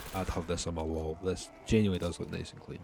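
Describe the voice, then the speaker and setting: Over noticeable background noise, a man talks with a strong Scottish accent at a very deep, low pitch. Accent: heavy Scottish. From Scotland. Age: young. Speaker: gaming youtuber. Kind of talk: gameplay commentary. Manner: casual, filler-heavy.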